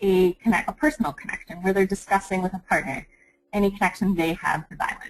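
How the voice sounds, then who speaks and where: A woman speaks at medium pitch. Her voice is somewhat breathy. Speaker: curriculum developer presenting educational resources. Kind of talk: webinar presentation. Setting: online webinar. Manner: fast.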